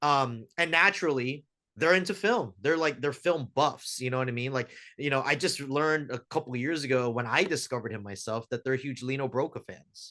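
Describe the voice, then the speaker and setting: A man talks at a fairly quick pace with a General American accent against a quiet background. He has a normal speaking voice, medium in pitch with ordinary pitch variation. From US, Filipino American family. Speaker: filmmaker. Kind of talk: casual interview chat.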